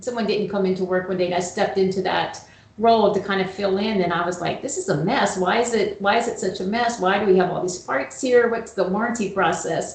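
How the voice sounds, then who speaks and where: Amid audible room echo and noticeable background noise, a woman with a medium pitch talks at a fairly quick pace with ordinary pitch variation and hardly any pauses. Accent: American. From US South. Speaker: HVAC operations manager. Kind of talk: casual interview chat.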